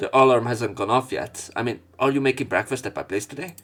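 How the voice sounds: At a fast pace, a man talks with a fairly bright tone and ordinary pitch variation. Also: medium pitch for a man.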